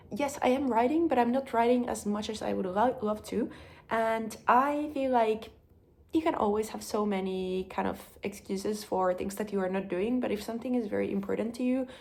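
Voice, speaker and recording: A woman with a Finnish accent, a fairly high pitch and a fairly quick pace. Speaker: vlogger. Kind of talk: casual vlog talk. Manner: hesitant, many fillers.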